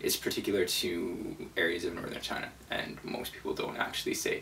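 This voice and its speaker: A man mumbles at a moderate pace amid noticeable background noise and audible room echo. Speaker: vegan travel video maker, language tutorial. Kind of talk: tutorial. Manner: mumbling.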